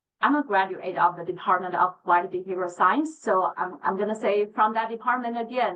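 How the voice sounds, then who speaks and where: This woman has a medium pitch and a normal speaking voice. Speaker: behavior analyst presenting to educators. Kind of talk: lecture.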